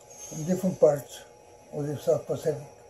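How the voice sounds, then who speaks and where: A man speaks in a fairly high pitch while music plays in the background. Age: 90s. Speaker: World War II Navy veteran, rancher. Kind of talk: interview answer. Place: home room.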